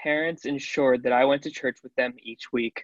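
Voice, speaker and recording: A man speaks very fast with a Midwestern American accent, his pitch fairly high and his intonation fairly even. The sound is dry and close with no echo, over a quiet background. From Ohio, Cincinnati area. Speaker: college student. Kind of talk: testimony.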